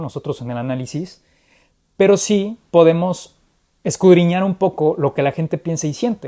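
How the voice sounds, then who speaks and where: In a Mexican accent, the speaker uses an animated tone on a very clean recording with a silent background. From Mexico. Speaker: political commentator. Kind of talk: conversational political analysis. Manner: animated, with frequent repetitions.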